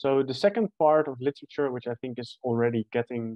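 A man speaks with ordinary pitch variation. The sound is dry, with no echo. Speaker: presenter. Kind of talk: academic presentation. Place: home room. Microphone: webcam.

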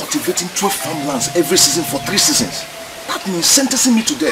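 A man's voice over loud music in the background. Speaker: film actor. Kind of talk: dramatic film dialogue. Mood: distressed, pleading. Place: open country.

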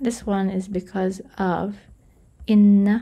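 A woman speaks very slowly in a monotone, flat intonation at medium pitch, her somewhat breathy voice carrying a dark, mellow tone. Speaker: Quran memorization teacher / YouTuber. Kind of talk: tutorial. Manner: casual, with many filler sounds.

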